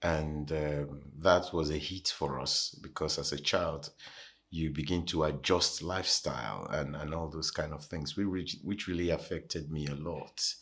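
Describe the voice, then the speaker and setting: A man speaks with a Nigerian accent in a very deep, low voice, at a fairly slow pace. His intonation stays fairly even, and the recording is very clean with a silent background. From Nigeria (Lagos). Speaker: pastor. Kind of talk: interview, personal testimony. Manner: hesitant, many fillers.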